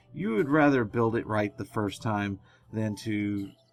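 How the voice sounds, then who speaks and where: Fairly low male speech at a moderate pace, with music in the background. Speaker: gaming tutorial youtuber. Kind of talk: tutorial. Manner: soft-spoken, quieter than usual.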